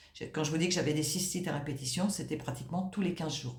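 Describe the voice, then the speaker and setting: A woman with a fairly low pitch speaks at a fairly quick pace with fairly even intonation. Noticeable background noise and audible room echo surround her. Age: 60s. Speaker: client giving a testimonial. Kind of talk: testimony. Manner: halting, many hesitations.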